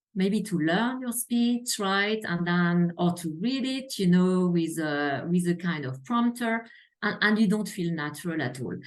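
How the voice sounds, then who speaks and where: At a fairly slow pace and with hardly any pauses, a woman of medium pitch speaks with lively intonation. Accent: slight French. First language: French. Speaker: healthcare quality executive. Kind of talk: interview.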